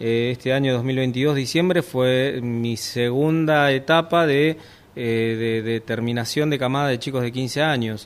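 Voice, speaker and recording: This man talks at a fairly slow pace. His medium pitch shows ordinary variation. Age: 50s. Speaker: sailing instructor. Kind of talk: interview. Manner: halting.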